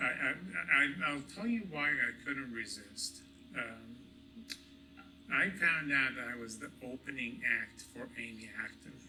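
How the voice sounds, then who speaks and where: Long, frequent pauses break up a man's fairly slow, lively speech at a fairly high pitch, with noticeable background noise. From Egypt. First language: Arabic. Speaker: hospital executive. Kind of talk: award acceptance speech. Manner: halting, many fillers and repetitions.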